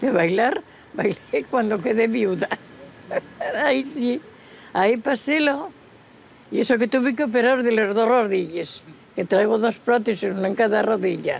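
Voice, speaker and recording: A woman's fairly high voice in an Asturian accent, fairly slow, with ordinary pitch variation, very even loudness, long, frequent pauses, and noticeable background noise. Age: 90s. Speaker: traditional folk singer. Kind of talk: casual interview.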